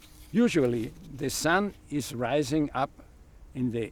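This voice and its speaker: With an Austrian accent, a man speaks at a medium pitch with ordinary pitch variation. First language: German. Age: 80s+. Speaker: retired electrical engineer and solar trainer. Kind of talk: tutorial.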